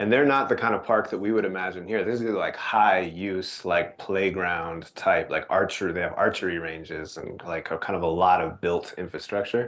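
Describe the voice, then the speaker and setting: A man speaks in a very deep, low voice with ordinary pitch variation and hardly any pauses, over noticeable background noise. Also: moderate pace. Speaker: nonprofit presenter. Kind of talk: presentation.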